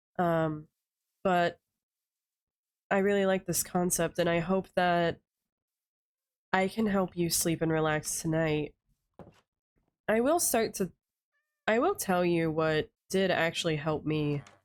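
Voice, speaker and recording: A soft-spoken woman talks calmly at a fairly slow pace and fairly low pitch, with long, frequent pauses. Her intonation is fairly even, her loudness very even, and the recording very clean with a silent background. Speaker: vtuber gamer. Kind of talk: relaxing gameplay commentary. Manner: calm, soft-spoken.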